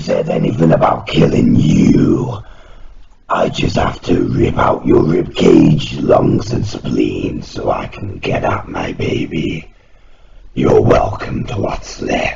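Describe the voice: Using a raspy, put-on character voice, a man speaks at a fairly slow pace.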